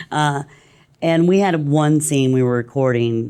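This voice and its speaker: The speaker talks at a fairly slow pace with a slight Texas accent. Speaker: voice actor.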